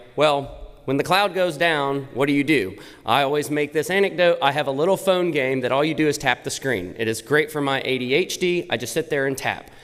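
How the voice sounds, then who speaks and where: Delivered at a fairly quick pace, the speech has lively intonation. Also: man. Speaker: tech company presenter. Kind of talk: conference presentation. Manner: loud.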